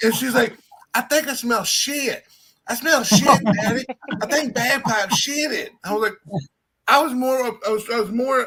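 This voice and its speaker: In a Southern accent, this raised, projected voice moves at a moderate pace. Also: man. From Louisiana (Slidell). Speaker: live streamer. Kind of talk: casual chat.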